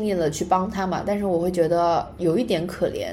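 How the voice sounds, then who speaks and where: The words rush out at a very fast pace amid noticeable background noise. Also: woman. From China. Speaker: podcast co-host. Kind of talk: casual chat. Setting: public library.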